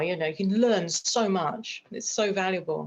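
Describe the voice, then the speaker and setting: Her pitch sits in the middle range and rises and falls in an ordinary way as the woman talks. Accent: British. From United Kingdom. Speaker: screenwriter and producer. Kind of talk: interview chat.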